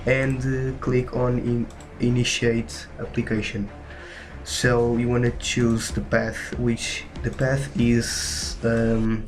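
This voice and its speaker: A man with a Portuguese accent speaks very slowly at medium pitch, with ordinary pitch variation and very even loudness. Noticeable background noise and audible room echo fill the recording. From Portugal. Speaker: gaming tutorial youtuber. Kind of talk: tutorial. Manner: halting, many fillers.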